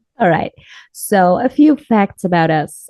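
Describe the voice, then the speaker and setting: Very slowly, a woman speaks with a German accent. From Germany, Munich. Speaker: podcast co-host. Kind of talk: casual chat.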